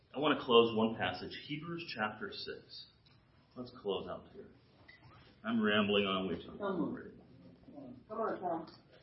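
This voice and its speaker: A man at medium pitch talks at a fairly slow pace with long, frequent pauses, very wide pitch swings and big swings in loudness, in a room with audible echo. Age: 60s. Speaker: guest preacher. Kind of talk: sermon. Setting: church with congregation. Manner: animated.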